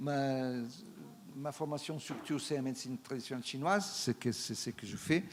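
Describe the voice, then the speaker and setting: A man speaks with a non-native accent at a moderate pace. His pitch is medium and his intonation fairly even. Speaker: traditional Chinese medicine practitioner. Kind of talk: conference talk. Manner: halting, many hesitations.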